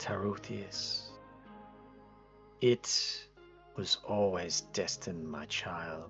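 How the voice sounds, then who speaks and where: A man's put-on character voice, very deep and low, with very wide pitch swings, a very slow pace, long, frequent pauses and clear music in the background. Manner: warm, gentle.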